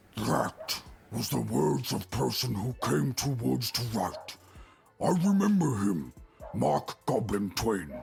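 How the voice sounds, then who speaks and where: Over music in the background, a man growls in a put-on character voice, fairly low in pitch and at a fairly slow pace. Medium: video game. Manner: broken grammar, simple.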